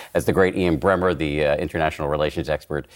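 Talking at a very fast pace with vocal fry, a man with a very deep, low pitch is heard on a very clean recording with a silent background. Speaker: podcast host and journalist. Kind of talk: panel discussion.

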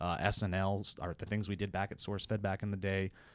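Speaking at a fairly quick pace with an American accent, a man with a plain, everyday voice and a fairly low pitch comes through on a very clean recording with a silent background. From Montana. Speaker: podcast co-host. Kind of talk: casual chat.

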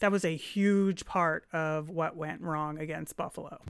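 In a normal speaking voice, a woman speaks at a moderate pace with fairly even intonation on a very clean recording with a silent background. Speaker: sports podcast co-host. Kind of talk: casual sports analysis chat.

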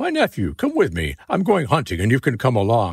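Someone speaks at a fairly quick pace in a put-on character voice. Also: man, very clean recording, silent background. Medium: read story.

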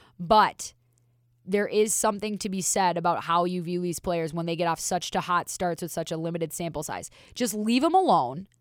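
A woman with a normal speaking voice and an American accent, fairly low in pitch, at a moderate pace, on a very clean recording with a silent background. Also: ordinary pitch variation. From Minnesota, US. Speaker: hockey analyst, former goaltender. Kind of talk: casual chat.

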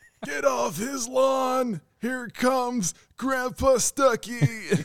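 A man uses a put-on character voice, speaking at a very slow pace with an extremely high pitch. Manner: gruff, shouting.

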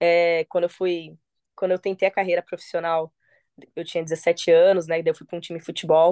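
A woman's voice comes through with a dry, close sound and no echo. The background is quiet. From Paraná, Brazil. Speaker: MMA fighter. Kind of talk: casual interview. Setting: phone call.

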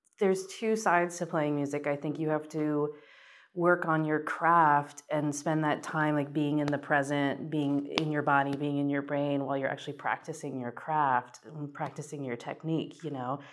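Recorded very cleanly against a silent background, the speaker has an American accent, a moderate pace and fairly even intonation. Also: woman, very deep, low pitch for a woman. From US Midwest, southwest Missouri. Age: 30s. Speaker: musician and recording engineer. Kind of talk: interview monologue.

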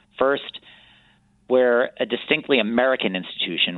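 Here a man talks in an ordinary speaking voice at a moderate pace, his pitch varying in an ordinary way. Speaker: cultural center CEO. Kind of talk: interview. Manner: formal.

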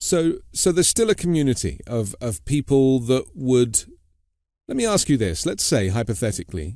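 A man with a British accent speaks at a moderate pace with lively intonation in a very clean recording with a silent background. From Britain. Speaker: news podcast host. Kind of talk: interview.

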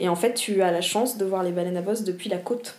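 With audible room echo, a woman speaks at a fairly quick pace, with medium pitch and ordinary pitch variation. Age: 20s. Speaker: environmental education worker, former whale volunteer. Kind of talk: casual interview.

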